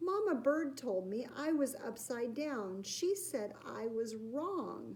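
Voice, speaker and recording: Speaking fairly slowly, a female-sounding voice puts on a high-pitched character voice. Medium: read story.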